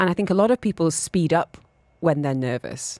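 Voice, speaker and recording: A woman's very deep, low voice, dry and close with no echo, on a very clean recording with a silent background. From northern England, Newcastle. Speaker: radio host. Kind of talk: radio interview.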